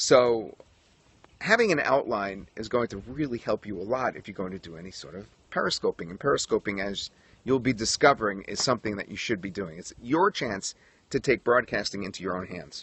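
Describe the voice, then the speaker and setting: A man with an American accent, fairly low pitch, lively intonation and big swings in loudness. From New York. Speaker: broadcaster and periscope coach. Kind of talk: tutorial. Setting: outdoors livestream on a tripod.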